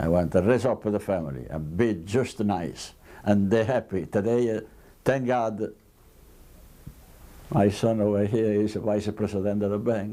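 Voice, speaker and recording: With an Italian accent, a man with a dark, mellow tone and fairly low pitch speaks at a fairly slow pace, with long, frequent pauses. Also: ordinary pitch variation. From Italy. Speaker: immigrant tailor. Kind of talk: interview testimony.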